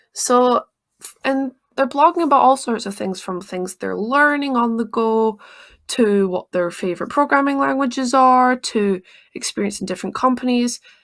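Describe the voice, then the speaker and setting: A woman speaks with a high pitch, ordinary pitch variation and big swings in loudness. The recording is very clean, with a silent background. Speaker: tech YouTuber. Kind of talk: casual talk to camera. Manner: fast.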